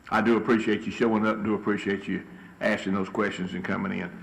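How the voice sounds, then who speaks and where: This man has a fairly low voice and a Southern US accent. Audible echo fills the room around him. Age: 60s. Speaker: city council member. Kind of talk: council meeting remarks.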